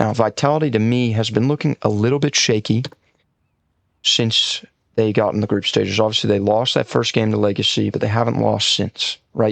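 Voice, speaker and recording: A man's quiet, fairly quick speech, very even in loudness, with a dry, close sound and no echo. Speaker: esports content creator. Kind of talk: casual commentary video.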